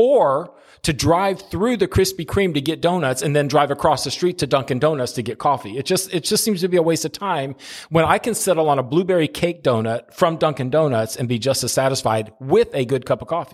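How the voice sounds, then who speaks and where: A man speaks in a normal speaking voice with fairly high pitch. His intonation is lively and his pace fairly quick. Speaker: senior pastor. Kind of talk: casual chat.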